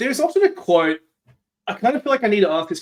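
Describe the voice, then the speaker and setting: This man speaks with an Australian accent and lively intonation. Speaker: podcast host. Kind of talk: interview conversation.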